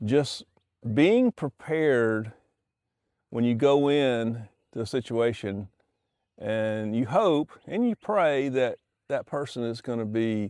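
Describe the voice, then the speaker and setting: A man with a relaxed tone and lively intonation speaks at a medium pitch, the sound dry and close with no echo in a very clean recording with a silent background. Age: 60s. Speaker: YouTuber sharing life advice. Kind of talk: casual monologue while fishing. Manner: relaxed, with frequent fillers and restarts.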